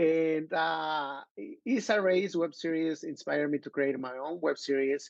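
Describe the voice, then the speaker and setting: A man with a Mexican accent speaks at fairly high pitch and a fairly slow pace. His pitch variation is ordinary. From Mexico, Acapulco. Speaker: filmmaker and actor. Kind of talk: podcast interview.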